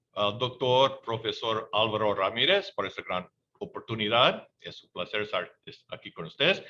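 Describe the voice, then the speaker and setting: A man speaks with an English accent at a medium pitch. His pace is fairly slow. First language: English (speaking Spanish). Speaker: independent researcher. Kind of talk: conference presentation. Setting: webinar. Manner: halting.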